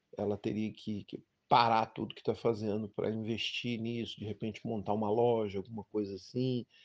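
In a quiet background, a man with a fairly low pitch speaks at a moderate pace in a monotone, flat intonation, the sound dry and close with no echo. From Brazil, Brasília. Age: 50s. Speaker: delivery worker and labor activist. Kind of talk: interview answers, recorded audio.

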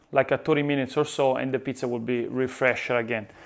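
A man talks fairly quickly, and the background is quiet. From Italy. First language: Italian. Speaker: pizza chef and YouTuber. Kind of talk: tutorial. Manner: animated; halting. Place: kitchen. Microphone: lapel.

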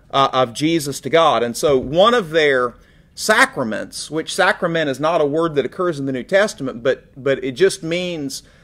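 The pace is moderate. A man talks with lively intonation. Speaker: bible class teacher. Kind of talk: lecture. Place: church. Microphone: studio mic.

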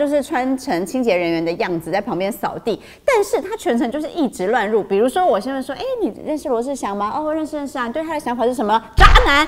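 A woman speaks very fast at a high pitch, her voice swinging very widely up and down. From Taiwan. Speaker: news show host. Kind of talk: casual news chat. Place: studio.

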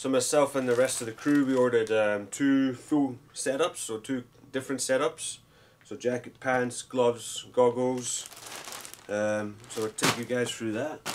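There is light background noise. A man talks at a moderate pace with fairly even intonation. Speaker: vlogger. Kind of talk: casual unboxing vlog chat. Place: home room.

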